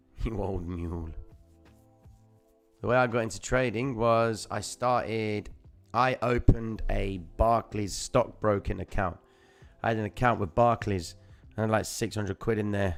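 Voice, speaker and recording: Fairly low male voice at a fairly slow pace, fairly even intonation, music playing behind him. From London, England (Cypriot Greek family). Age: 30s. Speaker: crypto trading streamer. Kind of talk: live stream chart commentary. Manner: casual.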